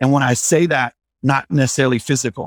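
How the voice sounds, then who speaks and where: Recorded with a dry, close sound and no echo, a man with a plain, everyday voice speaks at medium pitch with fairly even intonation. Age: 40s. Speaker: divorced father sharing his story. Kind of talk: casual interview.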